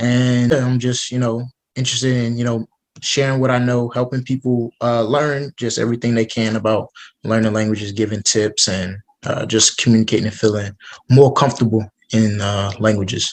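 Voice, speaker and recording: An ordinary speaking voice belongs to this man, pitched in the medium range. He keeps a moderate pace and fairly even intonation. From United States. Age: 20s. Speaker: student and polyglot. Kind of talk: interview. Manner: casual.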